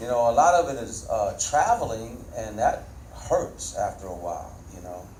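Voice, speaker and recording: A man's voice comes through both clear background noise and audible room echo. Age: 60s. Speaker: touring funk musician. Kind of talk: panel Q&A answer. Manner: conversational, repetitive fillers.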